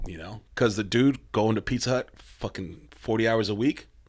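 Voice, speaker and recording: This man has an American accent and a fairly low pitch. His voice is somewhat breathy, with ordinary pitch variation. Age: 30s. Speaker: hardcore band frontman. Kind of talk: podcast interview. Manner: casual, lots of filler.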